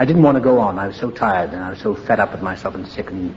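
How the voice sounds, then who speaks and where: At a very fast pace, a man with a Welsh accent speaks in a medium pitch amid noticeable background noise. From Wales. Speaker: recovering alcoholic. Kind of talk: AA meeting speaker talk, personal story.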